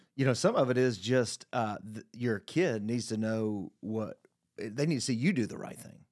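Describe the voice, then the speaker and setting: In an ordinary speaking voice, a man at a medium pitch talks at a moderate pace with ordinary pitch variation and big swings in loudness. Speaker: parent and panelist. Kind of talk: casual panel discussion. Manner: joking, humorous.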